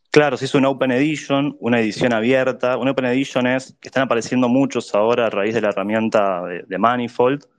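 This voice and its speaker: A man at medium pitch talking at a very fast pace with hardly any pauses, fairly even intonation and a quiet background. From Argentina, Buenos Aires. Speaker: NFT artist and community figure. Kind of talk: casual chat.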